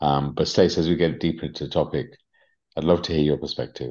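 This man has a very deep, low voice with a dark, mellow tone and vocal fry. He talks at a very fast pace. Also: quiet background. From England. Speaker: spiritual coach and podcast host. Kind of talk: casual conversational podcast discussion.

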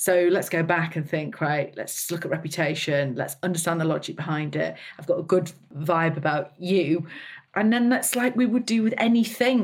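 A woman's somewhat breathy, fairly low voice, with lively intonation at a moderate pace. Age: 40s. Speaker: brand founder. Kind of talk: interview. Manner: animated.

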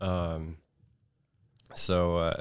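Recorded very cleanly against a silent background, a man with an American accent talks in a very deep, low pitch. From Northern California, Redding. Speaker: film sound engineer. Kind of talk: casual chat. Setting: studio. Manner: monotone.

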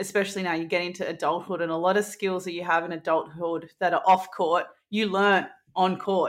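Speaking in an Australian accent, a woman of medium pitch talks at a fairly quick pace with fairly even intonation. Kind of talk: casual interview chat.

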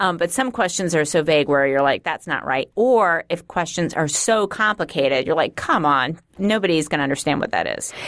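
Lively in intonation, a woman speaks at a fairly quick pace in a fairly low pitch, with hardly any pauses. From New York, Queens. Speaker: political pollster, podcast co-host. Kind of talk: casual chat.

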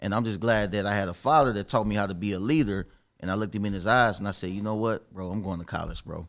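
A very fast man's voice with an American accent, fairly low in pitch with ordinary pitch variation, on a very clean recording with a silent background. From Dayton, Ohio. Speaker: real estate wholesaler. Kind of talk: casual interview.

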